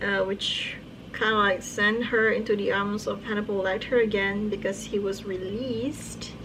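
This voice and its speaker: A woman with a non-native accent speaks at a medium pitch and a moderate pace, in a monotone, flat intonation. Noticeable background noise and audible room echo surround her voice. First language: not English. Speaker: book YouTuber. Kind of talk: casual monologue. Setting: recorded at night. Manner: hesitant, filler-heavy.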